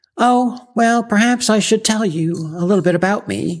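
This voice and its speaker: A woman's plain, everyday voice at a moderate pace with lively intonation, on a very clean recording with a silent background. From Canada, Ottawa. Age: 60s. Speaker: podcast host. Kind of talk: scripted podcast monologue.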